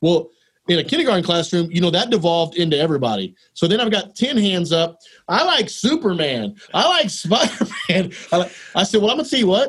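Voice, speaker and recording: Here is a man with a Texan accent. His pitch is high and his pace fairly quick. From Texas. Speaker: elementary school principal. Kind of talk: casual interview.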